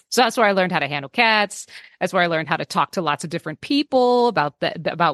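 A woman with a Californian accent speaks at a medium pitch with lively intonation. The sound is dry and close with no echo, over a quiet background. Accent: Californian American English. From US West Coast, San Francisco Bay Area. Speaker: veterinary technician. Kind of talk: casual interview chat.

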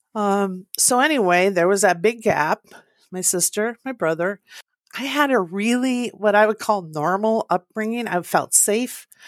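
With an Upper Midwest accent, a woman speaks at a fairly slow pace and medium pitch with ordinary pitch variation, in a dry, close sound with no echo on a very clean recording with a silent background. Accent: Upper Midwest American. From US Midwest, northern Minnesota. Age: 60s. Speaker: interview guest sharing family story. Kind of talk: personal testimony.

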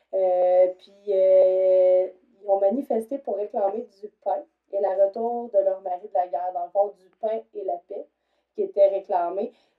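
A woman with a medium-pitched voice talks at a very slow pace with fairly even intonation. Her loudness swings widely. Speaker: shelter worker for abused women, podcast co-host. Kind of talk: casual chat.

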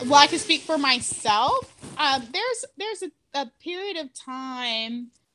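Raising and projecting her voice, a woman with an American accent speaks in a bright, sharp tone with lively intonation. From Irving, Texas (Dallas area). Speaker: convert to Islam, healthcare worker. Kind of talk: interview testimony.

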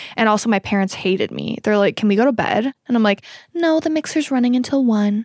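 A woman's very fast, fairly high-pitched speech with ordinary pitch variation and very even loudness, dry and close with no echo, on a very clean recording with a silent background. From Middleton. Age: 20s. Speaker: podcast co-host, baker. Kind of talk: casual chat.

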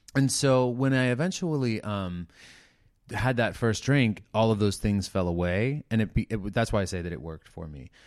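A man's fairly low voice at a moderate pace with lively intonation, an ordinary speaking voice in a very clean recording with a silent background. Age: 40s. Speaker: recovering addict sharing his story. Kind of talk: casual interview chat.

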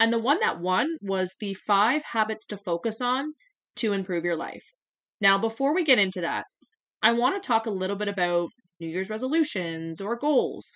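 A woman with a normal speaking voice and a Canadian accent, fairly high in pitch, lively in intonation, at a moderate pace against a quiet background. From Canada, southwestern Ontario. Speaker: strength coach and podcast host. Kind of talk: solo podcast monologue. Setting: home office desk.

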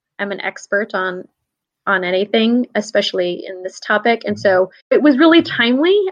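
A woman with an American accent uses a normal speaking voice, fairly high in pitch, with lively intonation. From upstate New York. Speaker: academic advising administrator. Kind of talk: interview.

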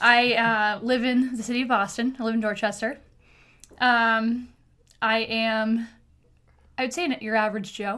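A woman speaks with a bright, sharp tone at a fairly high pitch, in a monotone, flat intonation. She goes at a fairly slow pace with long, frequent pauses, and the recording is very clean with a silent background. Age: 30s. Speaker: podcast guest, host's sister. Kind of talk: casual chat. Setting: in person with host.

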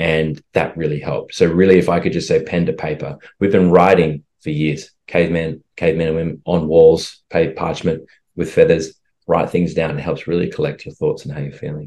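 In an Australian accent, a man speaks with a very deep, low pitch, a dark, mellow tone and monotone, flat intonation. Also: fairly quick pace. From Australia, rural western Queensland. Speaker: holistic health coach and actor. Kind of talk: interview conversation.

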